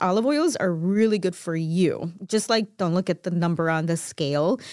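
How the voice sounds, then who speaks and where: On a very clean recording with a silent background, a woman talks at a moderate pace and a medium pitch in a plain, everyday voice. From Chicago, US Midwest. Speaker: co-host. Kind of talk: casual chat. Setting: studio. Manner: laughs often.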